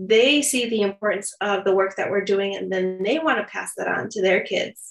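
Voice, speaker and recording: In an American accent, a woman speaks at a fairly high pitch with fairly even intonation. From Chicago south suburbs, US. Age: 30s. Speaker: photographer and podcaster. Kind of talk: interview chat.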